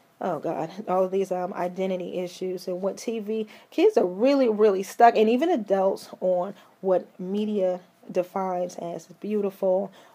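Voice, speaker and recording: A woman's shaky voice sits at a medium pitch with a dark, mellow tone. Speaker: vlogger and mental health advocate. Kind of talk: casual commentary vlog. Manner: halting, many fillers and repeats.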